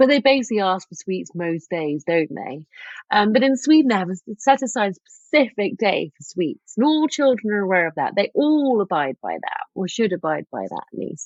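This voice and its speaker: A woman with a strong English accent, very wide pitch swings and a moderate pace. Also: medium pitch for a woman. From England. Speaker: author and lifestyle expert. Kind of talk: podcast interview.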